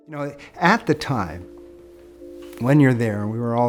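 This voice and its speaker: A man is speaking. Music plays in the background. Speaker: war veteran, pilot. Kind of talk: interview testimony.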